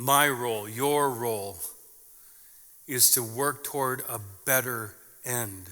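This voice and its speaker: In an American accent, a bright, sharp voice speaks at a very slow pace with fairly even intonation, long, frequent pauses, and audible room echo. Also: man, medium pitch for a man. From southern Minnesota, US Midwest. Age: 50s. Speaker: pastor. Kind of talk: sermon.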